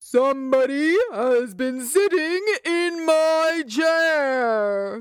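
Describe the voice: A put-on character voice comes through at a high pitch and a very slow pace.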